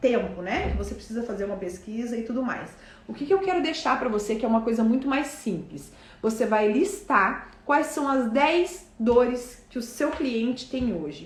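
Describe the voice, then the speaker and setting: A woman speaks at a high pitch. Noticeable background noise and audible room echo surround her voice. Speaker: business coach. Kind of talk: live online class.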